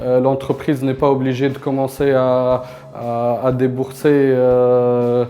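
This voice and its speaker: Amid noticeable background noise, a man speaks at a medium pitch in a flat monotone, at a very slow pace. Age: 30s. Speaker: company founder. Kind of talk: interview testimony. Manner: halting, many hesitations.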